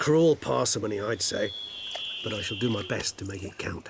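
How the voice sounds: A man's put-on character voice, fairly low, husky and rough-edged with vocal fry, lively intonation and a moderate pace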